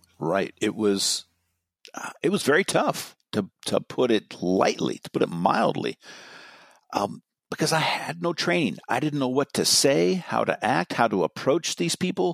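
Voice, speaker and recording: A man with an American accent and a medium pitch speaks fairly slowly with very wide pitch swings and vocal fry, in a dry, close sound with no echo. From US West Coast, Marin County, California. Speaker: retired police sergeant and crisis negotiator. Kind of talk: interview.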